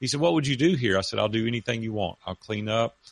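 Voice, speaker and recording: A man with a Southern US accent, fairly low pitch and ordinary pitch variation, in a dry, close sound with no echo. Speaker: author and retired businessman. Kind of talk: interview. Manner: animated storyteller.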